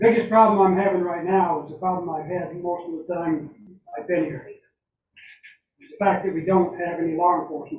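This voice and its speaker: A man with an American accent and a high pitch, fairly quick pace, long, frequent pauses, big swings in loudness, fairly even intonation and audible room echo. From US, southwestern Maine. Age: 70s. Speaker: resident speaking at public comment. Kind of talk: public comment at town meeting. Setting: town board meeting.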